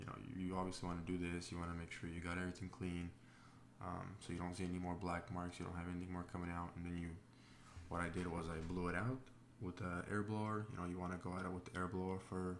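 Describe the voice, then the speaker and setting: Soft-spoken and monotone, a man talks at a very fast pace in a very deep, low pitch. Audible room echo surrounds his flat delivery. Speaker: diesel truck mechanic. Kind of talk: tutorial narration. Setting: home, voiceover recorded with child asleep. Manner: soft-spoken, talking quietly; hesitant, many fillers. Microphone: may not pick up quiet voice.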